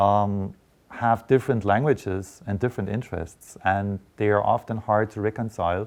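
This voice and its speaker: At a moderate pace, a man with a German accent speaks at a fairly low pitch. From eastern Germany, Dresden. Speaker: journalism professor. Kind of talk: interview. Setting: studio. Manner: hesitant, many fillers.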